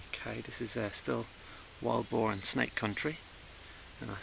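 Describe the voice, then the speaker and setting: A man speaks quietly. There is noticeable background noise. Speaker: hiking vlogger. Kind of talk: outdoor vlog commentary. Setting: outdoors on a mountain. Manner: quiet, kept-down voice; hesitant, many fillers.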